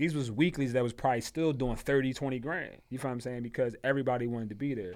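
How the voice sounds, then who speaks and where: A man rattles along at a very fast pace, keeping a medium pitch that varies in an ordinary way. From Philadelphia. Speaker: nightlife promoter. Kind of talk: casual chat.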